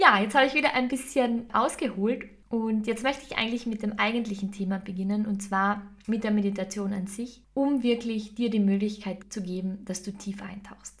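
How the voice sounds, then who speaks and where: A woman's somewhat breathy, fairly high voice at a moderate pace, with fairly even intonation. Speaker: podcast host and meditation guide. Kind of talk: guided meditation.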